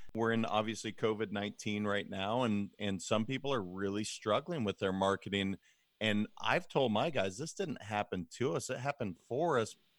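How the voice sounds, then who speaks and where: In a very clean recording with a silent background, a man with an American accent has an ordinary speaking voice, fairly low in pitch with ordinary pitch variation, at a moderate pace, and the sound is dry and close with no echo. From Montana. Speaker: leadership coach and financial advisor. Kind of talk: interview.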